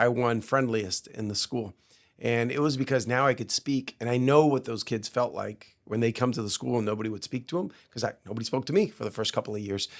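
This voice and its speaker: This man talks fairly quickly with a Spanish accent. His pitch is medium and varies in an ordinary way. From Cuba, raised in Miami area. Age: 50s. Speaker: entrepreneur. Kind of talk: podcast interview.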